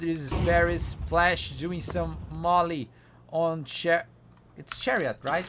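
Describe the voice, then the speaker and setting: A man with a Brazilian Portuguese accent speaks at a very slow pace. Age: 30s. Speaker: esports caster. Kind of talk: live commentary. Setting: live stream.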